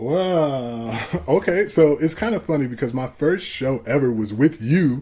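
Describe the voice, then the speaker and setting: Lively intonation carries a plain, everyday voice with an American accent. The pace is fairly slow. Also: man, fairly high pitch for a man. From Ohio, Cleveland area. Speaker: music producer and rapper. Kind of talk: casual interview chat.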